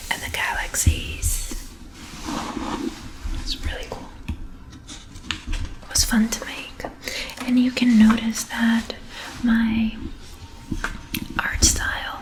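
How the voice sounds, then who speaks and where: Soft-spoken and in a calm, relaxed tone, a woman talks at a very slow pace with long, frequent pauses over noticeable background noise. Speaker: illustrator and ASMR artist. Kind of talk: soft spoken ASMR show and tell. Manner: soft-spoken, calm, relaxed.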